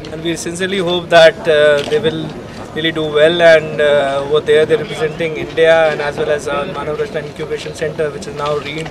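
Clear background noise sits behind the voice. The delivery is on the quicker side. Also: man. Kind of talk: interview answer. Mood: warm, encouraging. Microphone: handheld.

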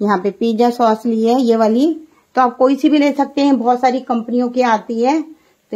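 A woman speaks with high pitch and a dark, mellow tone, her intonation fairly even. The background is quiet. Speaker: home cook recipe host. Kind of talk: cooking tutorial. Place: kitchen.

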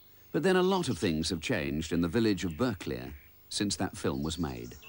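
A man's very deep, low voice at a fairly quick pace, with lively intonation and music in the background. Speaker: narrator. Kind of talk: documentary narration.

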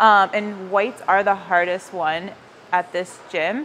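Light background noise can be heard. The speaker is a woman. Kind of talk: casual vlog explanation to camera. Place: gym. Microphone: lapel.

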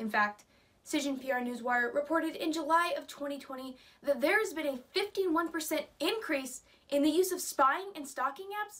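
A woman talks fairly slowly, with a high pitch and lively intonation. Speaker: college speech competitor. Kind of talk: persuasive speech. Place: home room. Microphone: camera far.

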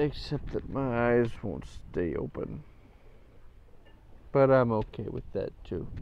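A man speaks at a very slow pace. Long, frequent pauses break up his words. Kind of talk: casual chat.

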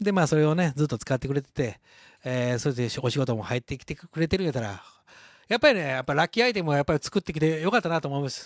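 Against a quiet background with a dry, echo-free sound, a man with a Kansai accent talks very fast with lively intonation. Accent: Kansai Japanese. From Shodoshima, Kagawa, Japan; Kagawa, Japan. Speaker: leather craftsman hosting livestream. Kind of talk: casual livestream chat. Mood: cheerful, celebratory. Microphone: handheld.

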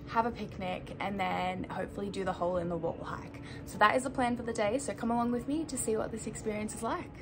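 Ordinary pitch variation from a woman amid noticeable background noise. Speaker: travel vlogger. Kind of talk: casual vlog chat. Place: home room. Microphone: phone near.

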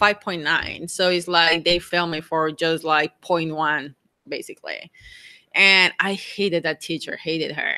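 A woman in a Mexican accent, fairly low in pitch and bright, sharp in tone, fairly slow and fairly even in intonation, against a quiet background. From Mexico. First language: Spanish. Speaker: RV travel vlogger. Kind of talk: live stream Q&A. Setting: outdoors. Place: home room.

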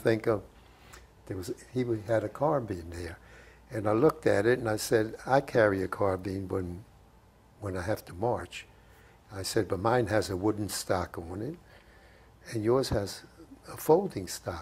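A man speaks in a fairly low, somewhat breathy voice with ordinary pitch variation. He leaves long, frequent pauses, and his loudness swings widely. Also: moderate pace. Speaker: war veteran. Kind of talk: interview answer. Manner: conversational, reminiscing. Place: home room. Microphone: lapel.

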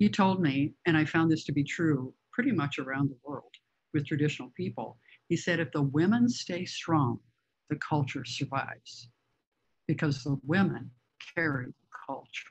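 Against a quiet background, a woman with an American accent speaks at a moderate pace in a very deep, low, somewhat breathy voice, with long, frequent pauses. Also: ordinary pitch variation. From US Midwest, northern Illinois. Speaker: author and photographer; presenter. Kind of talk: illustrated lecture. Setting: video call. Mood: reflective, warm. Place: home room. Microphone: video call.

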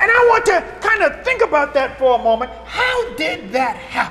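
A man with an American accent speaks in a raised, projected voice with very wide pitch swings. Noticeable background noise is present. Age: 60s. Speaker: pastor. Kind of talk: sermon. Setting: church.

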